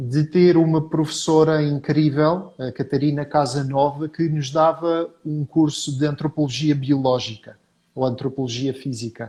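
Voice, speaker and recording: Speaking at a fairly slow pace, a man with a fairly high pitch has a dark, mellow tone and a somewhat breathy voice. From Portugal. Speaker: professor. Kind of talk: interview.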